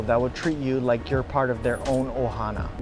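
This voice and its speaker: Over music in the background, a man talks at a very fast pace and a medium pitch. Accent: Hawaiian. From Hawaii. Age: 30s. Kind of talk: casual vlog narration.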